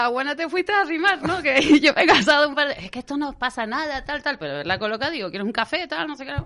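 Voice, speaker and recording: Very fast, high-pitched speech from a woman in a raised, projected voice, with lively intonation, big swings in loudness and hardly any pauses, over noticeable background noise. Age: 40s. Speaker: wedding planner and business owner. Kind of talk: radio interview, casual chat.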